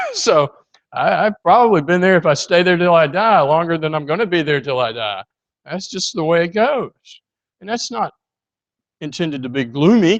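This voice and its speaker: A man with a high pitch and lively intonation speaks at a moderate pace with long, frequent pauses in a dry, close sound with no echo. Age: 60s. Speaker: preacher. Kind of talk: sermon. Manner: conversational, with frequent hesitations.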